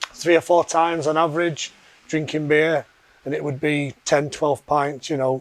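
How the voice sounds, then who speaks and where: A man with a Yorkshire accent and fairly high pitch, moderate pace and monotone, flat intonation, in a dry, close sound with no echo. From Yorkshire, England. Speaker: fitness program member. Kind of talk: testimony interview.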